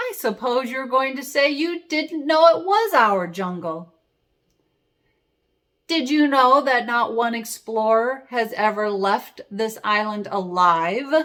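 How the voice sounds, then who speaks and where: A woman performs in a put-on character voice with a high pitch. Her voice is raised and projected, and she speaks at a fairly slow pace. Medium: read story. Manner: smug, menacing.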